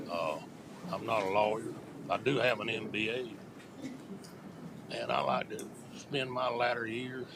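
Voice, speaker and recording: A man with a North Carolina accent at a medium pitch and moderate pace, with ordinary pitch variation and long, frequent pauses, plus noticeable background noise and audible room echo. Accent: US Southern (North Carolina). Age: 70s. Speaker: resident speaking at public hearing. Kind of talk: public comment. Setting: county board meeting.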